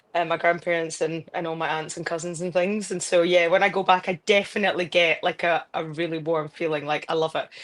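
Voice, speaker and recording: In a Scottish accent, a woman speaks at a fairly quick pace with hardly any pauses. Her fairly low voice stays monotone and flat. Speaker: football pundit and broadcaster. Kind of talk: casual interview chat.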